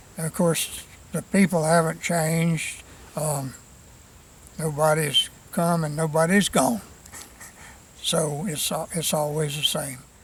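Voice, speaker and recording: A man with an American accent at a very slow pace, with fairly even intonation, long, frequent pauses and noticeable background noise. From US South, South Florida (Hardee County). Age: 80s+. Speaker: local historian, cemetery tour guide. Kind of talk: interview. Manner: halting, many fillers and repetitions.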